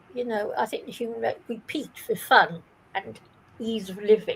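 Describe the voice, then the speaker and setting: A woman with a British accent and a high pitch talks at a moderate pace against noticeable background noise. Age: 70s. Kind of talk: casual chat.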